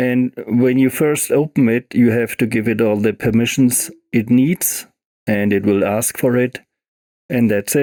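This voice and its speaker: A man with a non-native accent and a dark, mellow tone at a medium pitch, speaking fairly slowly with fairly even intonation in a dry, close sound with no echo. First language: not English. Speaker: music software tutorial creator. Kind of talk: tutorial. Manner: halting, with fillers.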